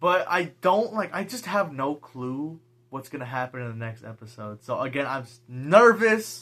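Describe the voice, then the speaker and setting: At a moderate pace, a man speaks in an animated tone with a fairly high pitch, very wide pitch swings and big swings in loudness. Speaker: YouTuber reviewing TV episodes. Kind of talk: unscripted casual review monologue. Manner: halting, self-described stutter.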